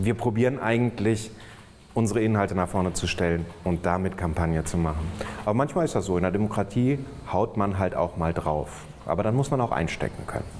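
Over light background noise, a man with a fairly low pitch talks at a fairly quick pace, with ordinary pitch variation and very even loudness. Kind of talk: interview answer. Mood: relaxed, friendly. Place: office. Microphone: lapel.

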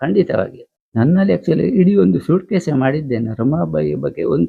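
A man's voice with very wide pitch swings. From India, coastal Karnataka (Mala, Karkala). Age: 60s. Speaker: local writer. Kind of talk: interview.

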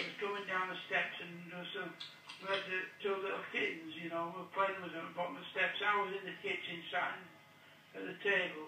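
Over noticeable background noise, a man with a high voice speaks fairly quickly in a monotone, flat intonation. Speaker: prison inmate. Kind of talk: recorded phone conversation. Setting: phone line.

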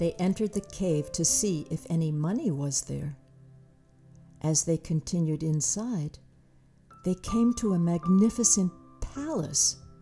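Faint music plays behind a speaker with lively intonation who goes at a fairly slow pace, leaving long, frequent pauses. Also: woman, fairly low pitch for a woman. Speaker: storyteller, audiobook narrator. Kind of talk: children's storybook narration. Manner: enthusiastic, expressive. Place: studio.

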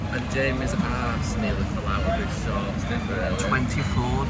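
There is loud background noise. Over it, a man speaks at a very slow pace. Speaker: theme park vlogger. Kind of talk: casual vlog chat. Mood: jokey, relaxed. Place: waterside. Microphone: phone near.

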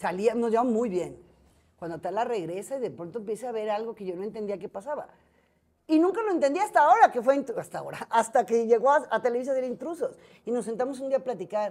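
Lively intonation and big swings in loudness at a very fast pace. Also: woman. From Mexico, Guadalajara; Jalisco, Mexico. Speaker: entertainment journalist. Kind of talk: casual interview chat. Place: cafe. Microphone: lapel.

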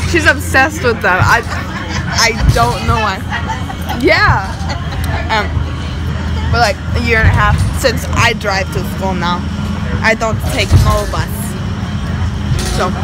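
A woman at a fairly slow pace with long, frequent pauses, dry sound with no echo, and clear music in the background. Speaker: vlogger. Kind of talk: casual vlog chat. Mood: playful, chatty. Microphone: phone near.

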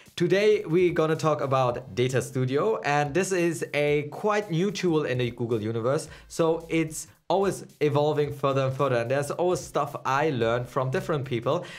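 A man speaking at a moderate pace, hardly any pauses, his pitch varying in an ordinary way. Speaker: channel host. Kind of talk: casual vlog intro. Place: studio.

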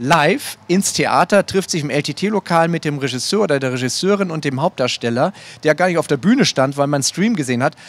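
A man speaks at a moderate pace with an unremarkable speaking voice and a fairly high pitch. His intonation is lively, and the sound is dry with no echo. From northern Germany. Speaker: theatre director. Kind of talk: panel discussion. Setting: stage with audience. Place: stage.

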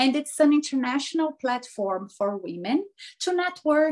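A woman is speaking at a fairly slow pace. The background is quiet. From Brazil. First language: Portuguese. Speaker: life coach. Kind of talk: interview. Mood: cheerful, animated. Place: home room. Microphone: video call.

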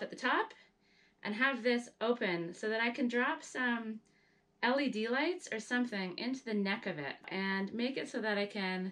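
The woman's pitch rises and falls as much as usual. She talks neither fast nor slow. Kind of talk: casual vlog chat. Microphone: camera far.

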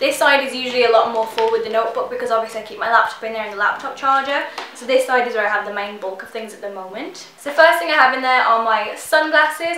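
A woman talks at a very fast pace in a raised, projected voice, with light background noise and audible echo in the room. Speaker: beauty vlogger. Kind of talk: casual vlog chat. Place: home room.

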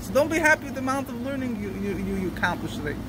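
A man speaks in a raised, projected voice. The sound is dry with no echo, but noticeable background noise runs underneath. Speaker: religious teacher. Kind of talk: lecture. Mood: earnest, explaining. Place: street.

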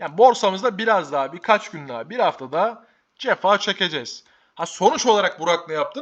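Lively intonation and an animated tone come through from this man. He talks at a fairly quick pace. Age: 20s. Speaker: stock market youtuber. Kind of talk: market commentary vlog.

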